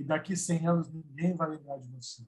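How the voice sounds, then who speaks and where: This is a man speaking. His pitch is fairly high. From São Paulo metro area (ABC / east zone). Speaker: samba singer. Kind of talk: casual interview chat.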